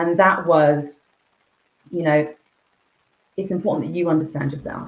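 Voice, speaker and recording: Somewhat breathy, a woman speaks at a very deep, low pitch with ordinary pitch variation. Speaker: executive coach. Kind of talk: podcast interview. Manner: fast; jittery.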